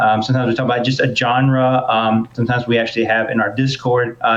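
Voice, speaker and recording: A man with a Southern US accent talks at a very fast pace. His medium-pitched voice stays flat and monotone. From US South. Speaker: podcast host. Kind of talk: casual chat.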